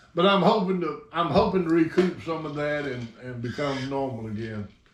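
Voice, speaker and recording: With a Southern US accent, the words come at a fairly quick pace. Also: man. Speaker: RC hobby channel host. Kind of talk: casual chat. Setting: hangar. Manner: slurred.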